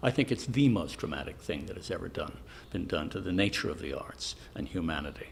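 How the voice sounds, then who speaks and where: Fairly quick speech with lively intonation, an American accent and vocal fry. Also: man. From US Northeast, Newport, Rhode Island. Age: 70s. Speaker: retired stone carver. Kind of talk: documentary interview monologue.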